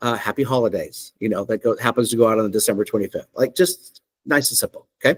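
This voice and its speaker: In a dry, close sound with no echo, a man with a normal speaking voice talks fairly quickly, his pitch varying in an ordinary way. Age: 50s. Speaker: software company CEO. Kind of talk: software demo presentation. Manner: casual, conversational with fillers.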